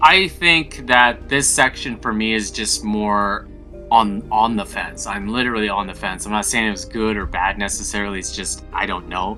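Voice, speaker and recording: Music plays behind a man speaking at a moderate pace. His fairly low voice has lively intonation. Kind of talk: casual game review talk to camera.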